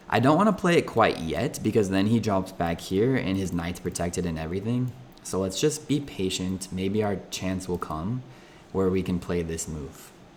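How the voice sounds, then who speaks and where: A man talks in a very deep, low pitch. His pitch variation is ordinary. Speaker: chess streamer. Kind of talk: live game commentary. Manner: slow.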